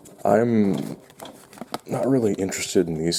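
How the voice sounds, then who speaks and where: This man takes his time, talking fairly slowly. There is noticeable noise in the background. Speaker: unboxing video creator. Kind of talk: product unboxing. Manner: halting.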